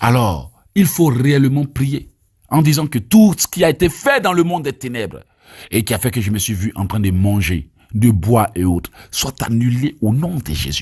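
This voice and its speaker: A man speaks in an Ivorian accent at a moderate pace, his medium-pitched voice somewhat breathy. His pitch swings very widely over a very clean recording with a silent background. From Côte d'Ivoire. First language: Abé (speaking French). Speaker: evangelist preacher. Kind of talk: teaching and prayer. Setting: recorded voice note.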